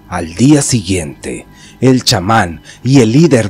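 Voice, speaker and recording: A man speaks fairly slowly in a dramatic tone, his pitch swinging very widely. Music plays in the background. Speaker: horror story narrator, channel host. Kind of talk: scripted horror story narration, first-person as a character. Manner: suspenseful, dramatic, measured storytelling pace.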